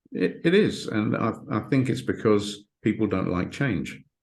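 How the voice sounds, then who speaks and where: Against a quiet background, a man with fairly low pitch speaks with vocal fry. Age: 60s. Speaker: hypnotherapist and author. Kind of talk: interview. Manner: halting, repeats words.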